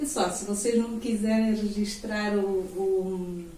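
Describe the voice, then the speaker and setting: Over noticeable background noise and audible room echo, a woman with a fairly high pitch speaks at a fairly slow pace. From Angola, Huambo. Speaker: student's mother, guest speaker. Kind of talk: classroom interview. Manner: halting.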